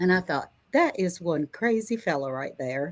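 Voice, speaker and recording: On a very clean recording with a silent background, a woman with an unremarkable speaking voice talks at a moderate pace in a fairly low pitch. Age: 60s. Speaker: retired homesteader. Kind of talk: casual chat. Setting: live stream.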